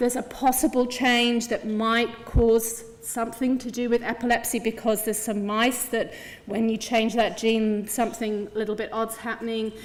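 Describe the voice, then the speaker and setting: In audible room echo, a woman with a fairly high pitch speaks at a moderate pace with monotone, flat intonation. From England. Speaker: clinical geneticist. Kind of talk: conference talk.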